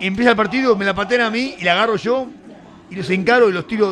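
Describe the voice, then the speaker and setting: With a Rioplatense accent, a man with a high pitch speaks at a very fast pace in an animated tone, with ordinary pitch variation, over noticeable background noise. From Argentina, Buenos Aires area (San Martín). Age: 60s. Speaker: former rugby player. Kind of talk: casual interview. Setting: studio.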